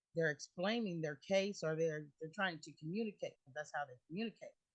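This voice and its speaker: This woman speaks with a fairly low pitch and ordinary pitch variation. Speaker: community member. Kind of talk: committee meeting discussion. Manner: loud.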